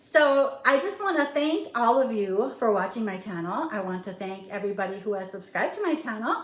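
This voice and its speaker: A woman speaks at a fairly high pitch with very wide pitch swings. Noticeable background noise and audible room echo are present. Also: fairly quick pace. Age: 60s. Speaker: lifestyle vlogger. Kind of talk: casual vlog talk to camera. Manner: casual with fillers.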